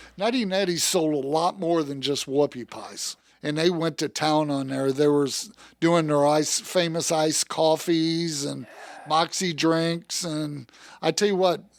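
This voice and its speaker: With a plain, everyday voice and an American accent, a man speaks at a fairly high pitch and a fairly slow pace with ordinary pitch variation, in a very clean recording with a silent background. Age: 60s. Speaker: car salesman. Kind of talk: casual interview chat. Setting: studio.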